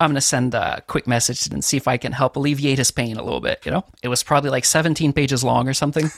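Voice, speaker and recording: Speaking in a Quebec accent, a man goes at a very fast pace with hardly any pauses. His fairly high pitch keeps fairly even intonation, and the sound is dry and close with no echo. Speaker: audio engineer. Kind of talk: casual interview.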